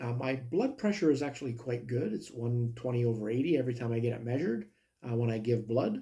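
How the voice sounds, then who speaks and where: The tone is dark and mellow, somewhat breathy. Intonation stays fairly even. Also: man. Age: 60s. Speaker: health vlogger. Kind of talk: personal video monologue. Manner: hesitant, many fillers.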